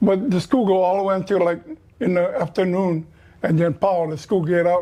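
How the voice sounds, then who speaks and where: Using a dark, mellow tone, a man with a high pitch speaks at a moderate pace with fairly even intonation. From Hawaii, Niihau. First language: Hawaiian. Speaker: fisherman sharing life stories. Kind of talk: interview conversation. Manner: halting.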